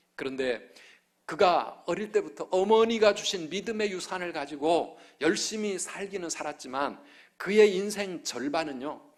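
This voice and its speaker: Speaking at a fairly slow pace, a man uses a high pitch. His intonation is lively. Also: very clean recording, silent background. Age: 50s. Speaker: pastor. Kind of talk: sermon. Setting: church.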